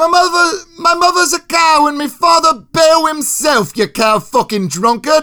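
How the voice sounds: Shouting in a put-on character voice, a man uses an extremely high pitch and a bright, sharp tone, with ordinary pitch variation at a fairly slow pace.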